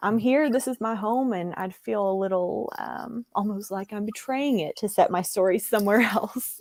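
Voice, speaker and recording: A woman in an Appalachian accent speaks at a medium pitch and a moderate pace. She has ordinary pitch variation and hardly any pauses. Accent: Southern US (Appalachian). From US South, East Tennessee (Appalachia). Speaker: book editor and novelist. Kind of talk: casual interview chat.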